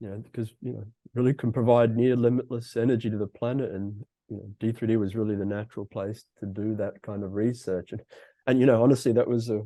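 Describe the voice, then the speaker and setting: A man with an Australian accent at a very fast pace, dark, mellow tone, monotone, flat intonation and big swings in loudness, over a quiet background. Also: medium pitch for a man. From Australia, Brisbane, Queensland. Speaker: fusion physicist, executive. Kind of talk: interview.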